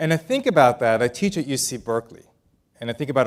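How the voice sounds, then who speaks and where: A man speaks at a medium pitch with a slight Israeli accent. The recording is very clean, with a silent background. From Israel, moved to El Paso, Texas at nine. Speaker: business author and keynote speaker. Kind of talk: keynote speech. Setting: stage with audience. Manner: casual, with fillers.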